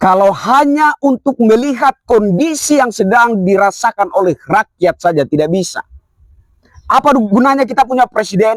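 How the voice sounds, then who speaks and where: With a high pitch, a man speaks at a moderate pace with lively intonation and very even loudness in a dry, close sound with no echo. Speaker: activist commentator. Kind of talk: political commentary monologue.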